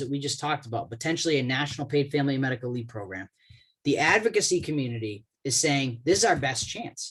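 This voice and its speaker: Somewhat breathy, a man talks at a very fast pace with lively intonation. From Boston, US. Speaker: government relations expert, lawyer. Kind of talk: webinar presentation. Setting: online webinar call.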